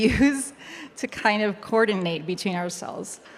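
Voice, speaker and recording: This woman has a Spanish accent. She talks at a moderate pace. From Chile. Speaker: web3 educator. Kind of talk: panel discussion.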